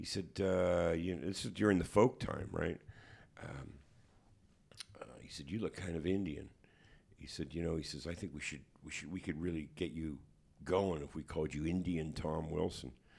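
A man with a Canadian accent speaks at a moderate pace in a very deep, low voice, his intonation fairly even, his loudness swinging widely, with long, frequent pauses. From Hamilton, Ontario, Canada. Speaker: musician and author. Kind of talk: interview. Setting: studio. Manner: halting.

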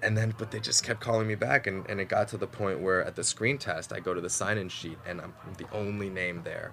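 Music plays in the background as a man with a fairly low pitch speaks at a fairly quick pace, with ordinary pitch variation and hardly any pauses. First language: Mandarin. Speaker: actor. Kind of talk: casual interview. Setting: studio. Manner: halting, many fillers.

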